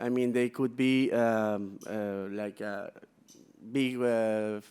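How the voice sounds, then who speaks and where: Someone with a Peruvian accent speaks at a very slow pace in a monotone, flat intonation. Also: man, medium pitch for a man. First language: Spanish. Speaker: business executive. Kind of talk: conference presentation. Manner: halting, many fillers.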